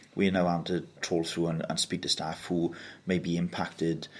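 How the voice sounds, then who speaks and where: In a South Wales accent, a man speaks at a very deep, low pitch and a fairly quick pace against a quiet background. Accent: South Wales valleys. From Wales, Mountain Ash (South Wales valleys). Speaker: council leader, politician. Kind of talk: interview.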